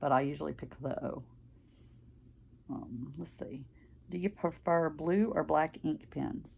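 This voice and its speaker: The speech carries a strong Southern US accent at a fairly slow pace. Long pauses come often. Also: woman. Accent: very strong Southern country. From US South, Mississippi. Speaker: craft vlogger. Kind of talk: casual chat.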